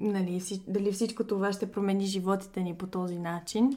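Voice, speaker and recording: A woman's dark, mellow voice at medium pitch, flat and monotone, in a very clean recording over a silent background. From Bulgaria, Sofia. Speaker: guest's wife. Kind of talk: interview.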